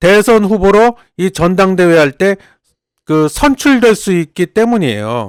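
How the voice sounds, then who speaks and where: Recorded dry and close with no echo, a man speaks at a high pitch with lively intonation and very even loudness. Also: fairly slow pace. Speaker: political commentator. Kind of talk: casual explainer monologue. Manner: animated; stumbles over words.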